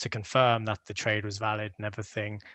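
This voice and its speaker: The tone is bright and sharp, the pace fairly quick, and the background quiet. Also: man. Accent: British. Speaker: crypto project contributor. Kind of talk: podcast interview. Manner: hesitant, many fillers.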